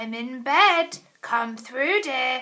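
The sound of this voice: Putting on a gruff character voice, a woman speaks at a high pitch.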